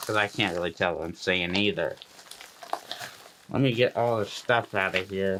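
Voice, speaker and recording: Amid noticeable background noise, a man with a fairly low pitch talks at a moderate pace with fairly even intonation and long, frequent pauses. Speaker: beard product reviewer. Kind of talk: product unboxing review. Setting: home studio. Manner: slurred, hard to understand.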